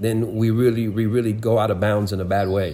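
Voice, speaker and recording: A man speaks in a normal speaking voice at a medium pitch and a moderate pace. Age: 60s. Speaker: prophetic minister. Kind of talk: interview.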